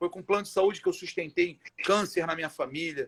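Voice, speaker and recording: A man talking at a moderate pace. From Brazil, Rio de Janeiro (Irajá). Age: 30s. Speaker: education social project founder. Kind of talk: casual interview on live stream.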